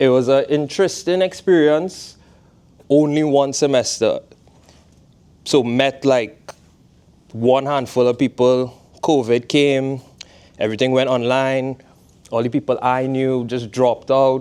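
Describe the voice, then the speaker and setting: Dark and mellow in tone, the voice carries a Trinidadian accent, moving at a fairly slow pace with fairly even intonation and long, frequent pauses. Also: man, medium pitch for a man. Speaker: fashion designer, footwear brand founder. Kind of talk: guest talk to a class. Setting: classroom. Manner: casual.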